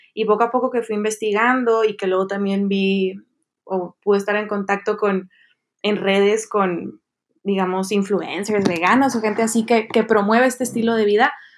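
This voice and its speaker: A plain, everyday voice from a woman, medium in pitch, at a moderate pace. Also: fairly even intonation. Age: 20s. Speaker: social development project leader. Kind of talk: casual chat.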